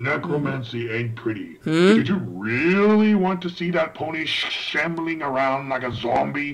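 Doing a put-on character voice at a fairly high pitch, a man speaks at a moderate pace with hardly any pauses. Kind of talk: fan dub voice acting. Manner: arrogant, sarcastic.

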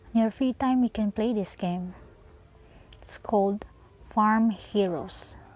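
This woman talks at a very slow pace in a fairly high, somewhat breathy voice with ordinary pitch variation. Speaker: tech reviewer. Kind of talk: casual phone game review narration.

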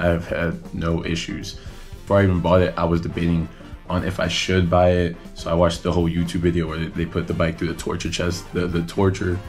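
Over faint background music, a man talks at a fairly quick pace in a very deep, low voice with monotone, flat intonation. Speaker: motorcycle vlogger. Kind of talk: casual vlog chat. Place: home room. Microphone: phone near.

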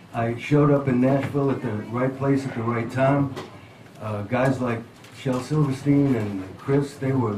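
A man speaks at a moderate pace with fairly even intonation. Audible room echo and light background noise come through. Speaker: guest. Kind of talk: interview answer and song introduction. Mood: reflective, warm storytelling.

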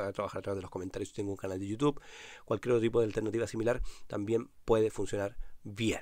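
This man talks very fast at a medium pitch with ordinary pitch variation. The recording is very clean, with a silent background. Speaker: podcast host, online business consultant. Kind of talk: solo podcast monologue.

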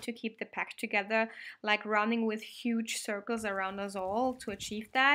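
Light background noise sits under a woman's voice. She talks at a moderate pace with fairly even intonation. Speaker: vlogger. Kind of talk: narrated vlog voice-over.

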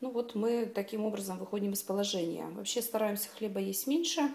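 Her pace is fairly quick, and her pitch varies in an ordinary way. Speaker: home vlogger. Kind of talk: casual vlog chat. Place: kitchen. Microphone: phone near.

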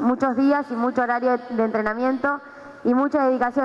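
A woman speaks with a high pitch. Her intonation is fairly even. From Argentina, Buenos Aires province (Pehuajó). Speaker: aerobics coach and PE teacher. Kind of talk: workshop talk to audience. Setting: gym with live audience. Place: gym. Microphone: headset.

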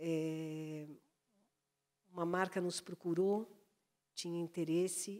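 Against a quiet background, the voice moves at a very slow pace with fairly even intonation. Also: woman. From Brazil. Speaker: journalist, branded content director; panelist. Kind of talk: panel talk. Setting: stage with audience. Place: stage. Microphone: handheld.

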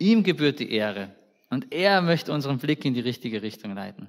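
A man talks at a fairly quick clip. His pitch swings very widely. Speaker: preacher. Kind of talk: sermon in a church service. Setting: church. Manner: conversational, warm, informal preaching with colloquial asides; earnest and direct, addressing the congregation personally.

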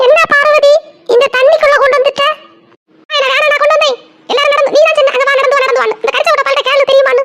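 A woman does a cartoonish character voice at an extremely high pitch, racing at a very fast pace with fairly even intonation and very even loudness. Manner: loud, scolding.

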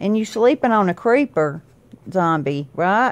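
Lively intonation marks a woman's fairly slow pace of speech. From US South. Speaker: mother vlogger. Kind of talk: casual family chat. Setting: at home, on the bed. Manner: playful, laughing. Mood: playful, teasing. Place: home room. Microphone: phone near.

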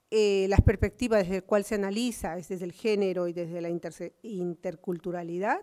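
A woman's dark, mellow, medium-pitched voice at a fairly quick pace, fairly even in intonation but with big swings in loudness, against a quiet background. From Peru. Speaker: social worker and activist; speaker. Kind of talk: conference talk. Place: hall. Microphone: podium.

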